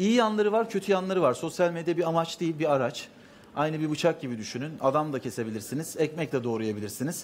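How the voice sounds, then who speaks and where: Light background noise sits under a man's very fast speech. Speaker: talk show guest. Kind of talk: interview answer. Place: stage. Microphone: headset.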